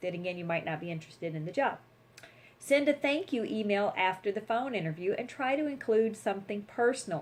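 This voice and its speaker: A woman with a Southern US accent talks at a fairly quick pace in an animated tone, her medium pitch rising and falling with lively intonation. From US South. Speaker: attorney and career vlogger. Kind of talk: tutorial. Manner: fast.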